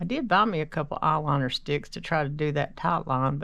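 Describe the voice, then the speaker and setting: Against a quiet background, a woman speaks with a very deep, low pitch and vocal fry. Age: 60s. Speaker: makeup vlogger. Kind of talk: casual get-ready-with-me tutorial. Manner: rambling, conversational.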